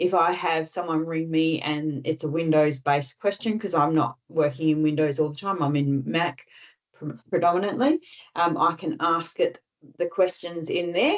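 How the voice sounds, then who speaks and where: The speaker is a woman with an Australian accent. She talks at a moderate pace. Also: fairly low pitch for a woman, fairly even intonation. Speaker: tech trainer presenting to club members. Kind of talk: online tutorial presentation.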